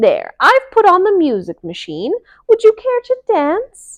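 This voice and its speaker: A woman does a put-on character voice, squeaky and extremely high in pitch. She projects it loudly at a fairly slow pace. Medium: read story. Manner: grand, excitable.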